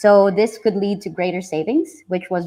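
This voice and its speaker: A woman with a plain, everyday voice at a moderate pace, with ordinary pitch variation. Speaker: software engineer and tech community leader presenting. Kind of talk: technical presentation.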